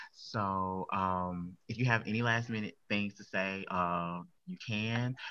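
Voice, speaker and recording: A man speaks very slowly in a fairly low voice, his intonation fairly even while his loudness swings widely. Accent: American. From US South. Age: 20s. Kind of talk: casual chat.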